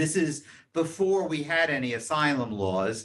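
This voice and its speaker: This voice has very wide pitch swings and an American accent. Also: man. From New York, Queens. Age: 70s. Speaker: guest speaker. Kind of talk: talk.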